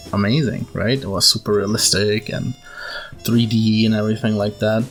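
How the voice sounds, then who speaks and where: The speaker has a non-native accent. Music plays in the background. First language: non-native English speaker. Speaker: gaming video creator. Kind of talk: casual gaming commentary. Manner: rambling, hesitant.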